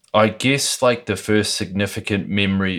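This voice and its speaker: On a very clean recording with a silent background, a man talks with a New Zealand accent. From New Zealand (Lower Hutt, near Wellington). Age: 30s. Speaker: skateboarder and woodworker. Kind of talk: casual interview over beers. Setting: recorded in his home.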